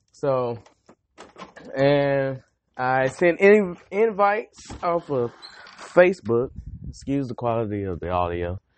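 Pausing long and often, a man with a Southern US accent speaks at a very slow pace, his pitch swinging very widely. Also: medium pitch for a man. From North Carolina, Greensboro. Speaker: podcast host, army veteran. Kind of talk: casual monologue.

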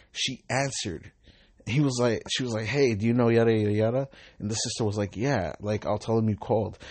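This man speaks at a fairly quick pace with a Southern California accent, a medium pitch, and fairly even intonation. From Southern California, Long Beach. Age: 20s. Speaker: podcaster and rideshare driver. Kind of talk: casual monologue.

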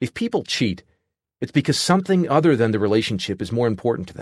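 A man's lively intonation against a quiet background. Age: 30s. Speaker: author narrating his book. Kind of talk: audiobook narration.

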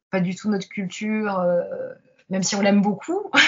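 Somewhat breathy, a woman's voice moves along at a fairly slow pace. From France. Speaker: pianist and piano teacher. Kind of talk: interview.

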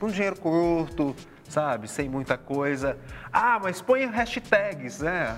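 A man's high-pitched voice with very wide pitch swings, at a very slow pace. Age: 30s. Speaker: podcast co-host. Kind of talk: casual chat.

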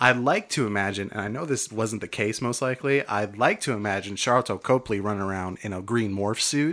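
A man with an ordinary speaking voice talks at a fairly quick pace with hardly any pauses. His fairly low pitch has ordinary pitch variation, on a very clean recording with a silent background. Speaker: comedy podcast co-host. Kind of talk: casual comedic banter.

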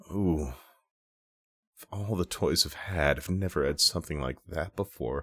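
A man with an American accent speaks at a moderate pace. His voice has vocal fry and ordinary pitch variation. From Minnesota. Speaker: podcast co-host. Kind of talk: improvised storytelling.

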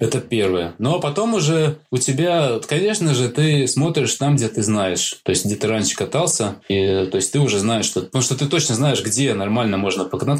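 A man at a medium pitch talks at a moderate pace with hardly any pauses. His intonation is lively and his loudness very even. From Latvia. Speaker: IT specialist and amateur freeride skier. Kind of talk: casual interview. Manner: hesitant, with many fillers.

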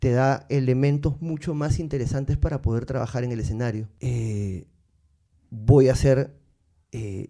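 A man's voice at a medium pitch, with a dark, mellow tone and ordinary pitch variation. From Peru, Lima. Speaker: musician. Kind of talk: casual chat.

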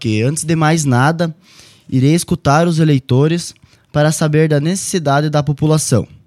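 With an ordinary speaking voice, a man talks at a moderate pace and a fairly high pitch, his loudness very even, in a dry, close recording with no echo. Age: 20s. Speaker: political candidate. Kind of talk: radio interview, prepared campaign statement.

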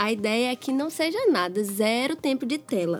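Music plays behind a woman whose high-pitched voice moves at a fairly slow pace. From Minas Gerais, Brazil. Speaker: pediatrician and podcast co-host. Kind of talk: casual chat.

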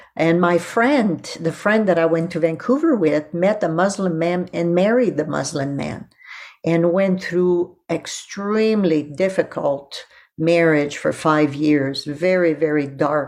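A woman in a French accent, fairly low-pitched and fairly slow, with ordinary pitch variation over a quiet background. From Quebec (Quebec City, Montreal), raised in Ottawa. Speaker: seminary professor of Old Testament. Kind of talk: interview, personal testimony.

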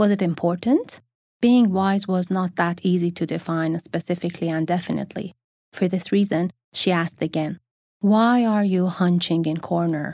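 In a very clean recording with a silent background, a woman speaks at a moderate pace in a calm, dark, mellow tone with fairly even intonation. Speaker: audiobook narrator. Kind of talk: literary audiobook reading, scripted narration of a novel. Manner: calm, measured, even storytelling pace.

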